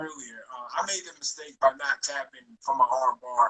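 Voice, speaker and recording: A man with a fairly high pitch talks at a moderate pace in a plain, everyday voice, recorded dry and close with no echo. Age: 30s. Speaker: podcast host. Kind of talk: casual podcast interview.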